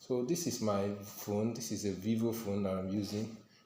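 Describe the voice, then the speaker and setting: A man's voice carries a dark, mellow tone, with audible room echo around it. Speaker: tech tutorial youtuber. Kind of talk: tutorial.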